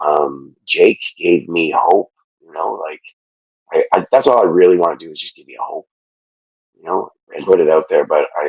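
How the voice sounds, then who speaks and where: A quiet man at a moderate pace, with big swings in loudness, long and frequent pauses, and a dry, close sound with no echo. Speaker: podcast guest, fitness challenge winner. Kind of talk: emotional interview testimony. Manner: halting, many fillers and restarts.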